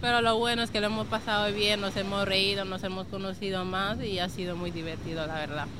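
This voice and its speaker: Fairly quick, fairly even speech from a medium-pitched woman, with audible room echo and noticeable background noise. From Senegal, raised in Spain from age 11. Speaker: association member. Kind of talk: interview. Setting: outdoors at the beach.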